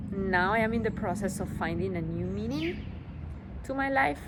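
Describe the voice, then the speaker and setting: A woman with a strong non-native accent speaks in a room with audible echo and noticeable background noise. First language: Spanish. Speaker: vlogger. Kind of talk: personal vlog monologue. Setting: outdoors on a rooftop. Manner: halting, many fillers.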